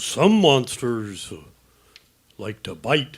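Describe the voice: A slow, put-on character voice from a man, medium-pitched with big pitch swings and a slightly husky edge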